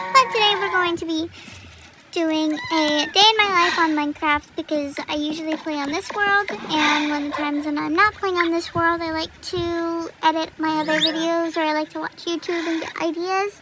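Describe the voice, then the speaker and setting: A woman talks in a raised, projected voice at an extremely high pitch, with ordinary pitch variation and a moderate pace. Noticeable background noise runs behind her. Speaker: gaming youtuber. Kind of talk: gameplay commentary. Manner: casual, hesitant with many fillers.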